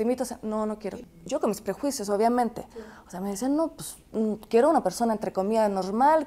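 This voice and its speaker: A woman's dark, mellow tone comes through in a very clean recording with a silent background. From France. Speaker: commentator's wife. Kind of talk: interview.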